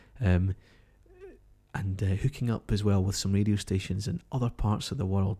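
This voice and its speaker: Speaking at a fairly quick pace in a Glasgow accent, a man has a fairly low, somewhat breathy voice with a dark, mellow tone. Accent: Scottish (Glasgow). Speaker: live stream host. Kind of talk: live broadcast commentary. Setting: home kitchen, live stream. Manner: hesitant, many fillers.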